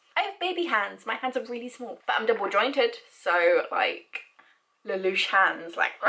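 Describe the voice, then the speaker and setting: Using a British accent, a woman speaks at a moderate pace, her fairly high pitch swinging very widely. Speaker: vlogger. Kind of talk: personal vlog. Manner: halting.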